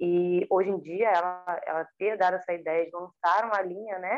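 A woman speaks at a medium pitch with fairly even intonation, in an unremarkable speaking voice. The sound is dry and close, with no echo. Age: 30s. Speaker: dancer and choreographer. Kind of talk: interview.

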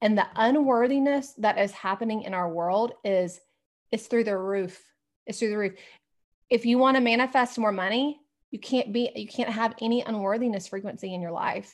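A woman speaks in a plain, everyday voice with an American accent. Her fairly high pitch shows ordinary pitch variation at a moderate pace. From US South. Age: 40s. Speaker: spiritual coach and energy healer. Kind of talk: interview conversation.

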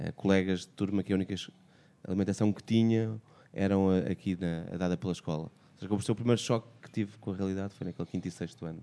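The voice has a dark, mellow tone and a very fast pace. Intonation stays fairly even, while loudness swings widely. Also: man, fairly low pitch for a man. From Portugal, Amadora (Lisbon area). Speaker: podcast co-host. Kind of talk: podcast discussion.

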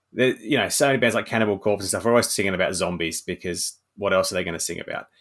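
A man has a plain, everyday voice, fairly low in pitch, with ordinary pitch variation. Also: very clean recording, silent background. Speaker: horror author. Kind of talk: casual interview chat.

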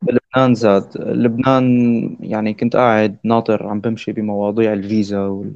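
Speaking at a fairly slow pace with hardly any pauses, a man holds a medium pitch in a monotone, flat intonation. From Syria. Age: 20s. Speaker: electronic music DJ and producer. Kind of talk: casual chat.

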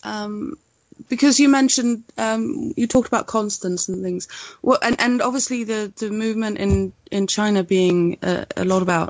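The speaker has a Swedish accent, a moderate pace and ordinary variation in pitch. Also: woman. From Sweden. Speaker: podcast co-host. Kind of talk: casual chat. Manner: halting.

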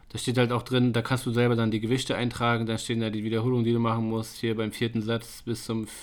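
A man's medium-pitched, monotone voice with flat intonation at a fairly quick pace, in a very clean recording with a silent background. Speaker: fitness podcast co-host. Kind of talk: casual chat. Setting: studio.

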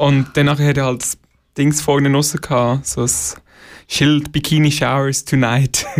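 Pitched fairly high, a man speaks with monotone, flat intonation and very even loudness. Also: moderate pace. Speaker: musician. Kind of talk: casual interview.

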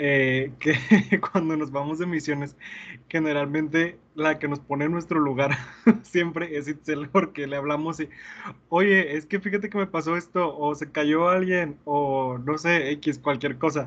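In an unremarkable speaking voice, a man speaks fairly slowly at a fairly high pitch, his intonation fairly even. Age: 20s. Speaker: podcast host and teacher. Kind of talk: casual chat.

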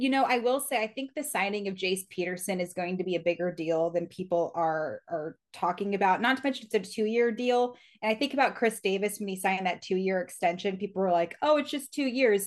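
In a plain, everyday voice with a General American accent, a woman speaks at a medium pitch and a fairly quick pace, with lively intonation, hardly any pauses, and a quiet background. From Reno, Nevada. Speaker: baseball reporter. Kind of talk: interview. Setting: studio.

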